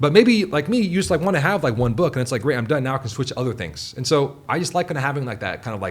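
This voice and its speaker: Rushing at a very fast pace, a man with an American accent speaks in a fairly high, somewhat breathy voice with lively intonation. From US Pacific Northwest, Seattle. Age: 30s. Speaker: writer. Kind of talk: casual chat. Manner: casual, filler-heavy.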